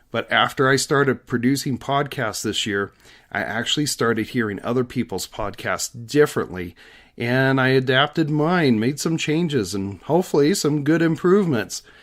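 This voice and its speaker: Very clean recording with a silent background. The speaker has an ordinary speaking voice, lively intonation and a moderate pace. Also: man, medium pitch for a man. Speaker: podcast host, reptile dealer. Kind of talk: solo podcast monologue.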